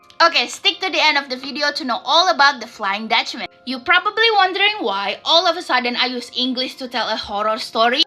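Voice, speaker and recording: With noticeable background noise behind her, a woman uses a raised, projected voice at a high pitch, swinging very widely in pitch with hardly any pauses. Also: fairly quick pace. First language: not English, self-taught English. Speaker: storytelling vlogger. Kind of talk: casual storytelling.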